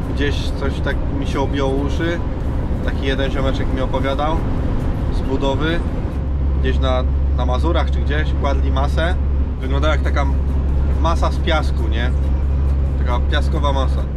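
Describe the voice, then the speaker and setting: Loud background noise runs under a man who talks at a moderate pace with long, frequent pauses. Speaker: truck driver vlogger. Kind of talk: casual vlog chat. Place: car. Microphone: phone near.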